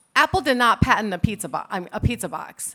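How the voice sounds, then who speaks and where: Bright and sharp in tone, a woman with an American accent talks at a fairly quick pace in a fairly high voice. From United States. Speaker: patent attorney. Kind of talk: conference talk. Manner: casual, conversational.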